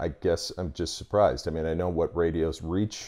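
Against a quiet background, a man speaks at a moderate pace with a very deep, low pitch, a dark, mellow tone and vocal fry. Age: 40s. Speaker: parent talking with teen about radio. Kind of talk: casual chat. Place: home room. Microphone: lapel.

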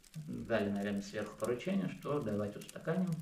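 A man's voice with very wide pitch swings, audible room echo and light background noise. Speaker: real estate agent. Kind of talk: casual interview. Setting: indoors at a home. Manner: halting. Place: home room. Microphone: camera far.

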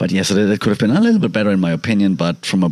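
A man with a very deep, low-pitched voice is heard over noticeable background noise. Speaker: podcaster. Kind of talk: casual podcast talk.

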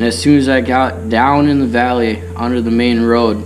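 Clear music sits behind a man who speaks at a moderate pace. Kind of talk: casual storytelling. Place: farm machine. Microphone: camera far.

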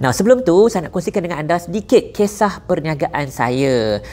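Faint music plays behind a man speaking at a moderate pace. His high voice swings very widely in pitch. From Malaysia. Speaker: entrepreneur and business influencer; business influencer. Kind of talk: sponsored promotional video. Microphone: lapel.

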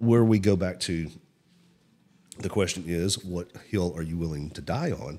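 A man with a Southern US accent, a very deep, low pitch and ordinary pitch variation. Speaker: podcast host. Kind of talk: casual chat. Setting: recorded at a local cafe venue.

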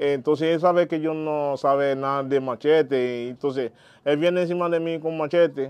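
Speaking at a moderate pace with fairly even intonation, a man with a Haitian accent has a fairly high pitch. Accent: Haitian Creole-accented Spanish. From Haiti, Jacmel. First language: Haitian Creole (speaking Spanish). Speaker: vodou priest; interviewee. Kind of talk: interview. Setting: at his home. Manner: halting. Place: home room. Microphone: lapel.

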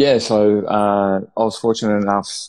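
A man with an Australian accent over a quiet background. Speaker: head of performance development at a school, author. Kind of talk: casual interview. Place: home room. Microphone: video call.

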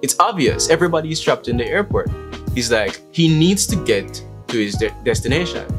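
There is clear music in the background. A man is speaking. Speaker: vlogger. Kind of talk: casual vlog chat.

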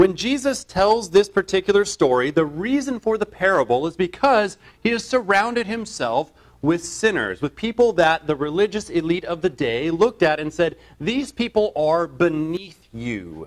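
Over a quiet background, a man with a high pitch speaks at a moderate pace, his pitch swinging very widely. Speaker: evangelist preacher. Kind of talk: sermon. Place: church.

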